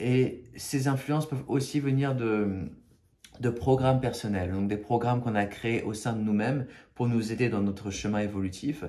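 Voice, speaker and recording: In a room with audible echo, a man speaks at a moderate pace with a dark, mellow tone, a medium pitch and ordinary pitch variation. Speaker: spiritual video creator. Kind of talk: spiritual talk to camera. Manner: halting, many fillers and repetitions.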